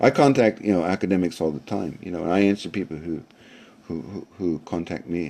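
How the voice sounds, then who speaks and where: With an American accent, this man talks at a fairly quick pace in a very deep, low voice with a dark, mellow tone and ordinary pitch variation. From US South, South Florida. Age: 60s. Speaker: language learner and university teacher. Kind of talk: live-streamed talk with audience questions. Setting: live stream. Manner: halting, many fillers.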